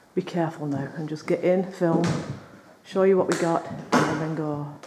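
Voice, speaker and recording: A woman's fairly low voice, fairly even in intonation, against noticeable background noise. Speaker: urban explorer vlogger. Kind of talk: casual vlog chat. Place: bar. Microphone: phone near.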